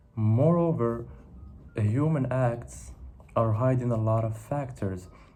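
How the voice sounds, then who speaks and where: Over audible room echo, a man with a medium pitch and a dark, mellow tone speaks very slowly, somewhat breathy, with ordinary pitch variation. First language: not English. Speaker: philosophy video creator. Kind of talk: monologue reflection to camera. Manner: halting, with self-corrections and fillers.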